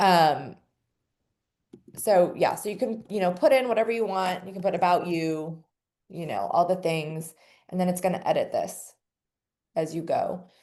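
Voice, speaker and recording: Speaking with a dark, mellow tone, a woman has medium pitch and ordinary pitch variation. Her pace is moderate, broken by long, frequent pauses. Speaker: team leader teaching website setup. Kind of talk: tutorial.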